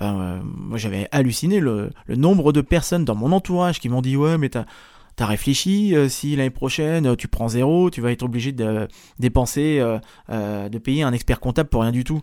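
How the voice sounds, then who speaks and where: On a very clean recording with a silent background, a man with a dark, mellow tone speaks at a moderate pace with lively intonation. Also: medium pitch for a man. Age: 30s. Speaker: podcast host and career coach. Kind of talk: solo podcast monologue. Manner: casual, hesitant with fillers.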